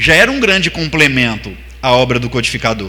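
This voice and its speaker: A man's speech carries audible room echo, with noticeable background noise around it. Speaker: spiritist lecturer. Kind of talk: religious seminar lecture. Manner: fast.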